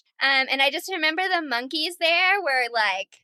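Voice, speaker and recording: Raised and projected, a woman's high-pitched voice comes across animated and bright with a sharp edge, at a moderate pace, in a dry, close recording with no echo. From US Midwest, northern Illinois. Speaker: hiker, podcast guest. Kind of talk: casual interview chat. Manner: animated, lots of fillers.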